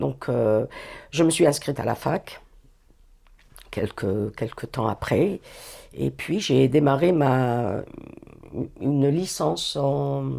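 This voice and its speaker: On a very clean recording with a silent background, a woman speaks very slowly with long, frequent pauses, her very deep, low voice dark and mellow, with vocal fry and lively intonation. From Algeria, Algiers. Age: 60s. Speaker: retired youth employment worker. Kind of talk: interview, personal life story. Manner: hesitant, many fillers and restarts.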